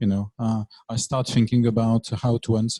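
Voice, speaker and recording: A man with a French accent has a dark, mellow tone and a somewhat breathy voice. The recording is dry and close, with no echo. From France. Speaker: lecturer. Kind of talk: lecture. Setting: classroom. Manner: hesitant, many fillers.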